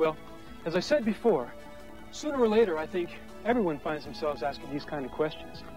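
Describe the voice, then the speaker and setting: A man speaks at a moderate pace over clear background music. The sound is dry, with no echo. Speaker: on-screen host of a church film. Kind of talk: scripted personal testimony to camera. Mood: warm, earnest, gentle. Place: open country.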